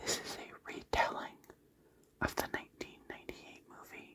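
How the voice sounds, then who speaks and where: Whispering from a woman. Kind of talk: ASMR book tag talk. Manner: soft-spoken.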